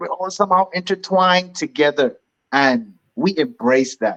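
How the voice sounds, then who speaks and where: With very wide pitch swings at a moderate pace, a man speaks in a dry, close sound with no echo. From Bahamas. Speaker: clothing brand founder and entrepreneur. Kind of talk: casual interview chat. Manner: animated.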